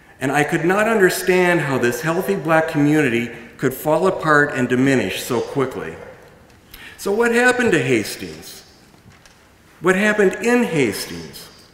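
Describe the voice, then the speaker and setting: A man's fairly high voice at a moderate pace, with very wide pitch swings, long, frequent pauses and audible room echo. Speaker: event moderator. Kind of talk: public speaking. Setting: stage with audience. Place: stage. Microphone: podium.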